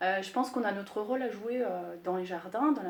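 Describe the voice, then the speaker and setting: A woman speaks at a medium pitch with ordinary variation in it. There is audible echo from the room. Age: 40s. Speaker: landscape gardener. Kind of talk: interview. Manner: hesitant, many filler sounds.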